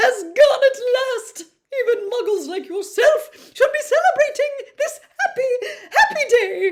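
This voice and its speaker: Extremely high pitched and squeaky, a put-on character voice moves at a fairly slow pace. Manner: joyful, excited.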